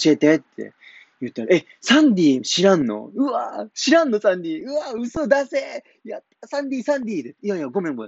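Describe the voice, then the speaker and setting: At a moderate pace, a man speaks in a Kumamoto accent, his pitch swinging very widely and his loudness rising and falling sharply. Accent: Kumamoto dialect (Kyushu). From Japan, Kumamoto. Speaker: comedian. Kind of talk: casual solo talk.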